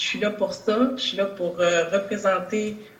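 With audible room echo and noticeable background noise, a woman speaks at a medium pitch. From Quebec, Longueuil. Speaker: nurse and political candidate. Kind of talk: political debate. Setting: video call.

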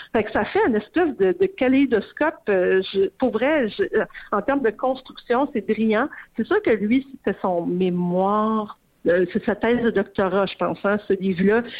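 In a Quebec accent, a woman with a fairly high pitch talks at a fairly slow pace, her intonation lively and her loudness very even. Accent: Québécois French. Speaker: arts journalist. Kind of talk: casual radio interview about books.

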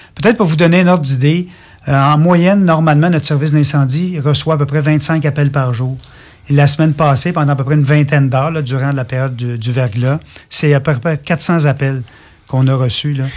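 A man with a Quebec accent, fairly high-pitched for a man, somewhat breathy, fairly quick, with fairly even intonation. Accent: Québécois French. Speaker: fire department director. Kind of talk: radio interview.

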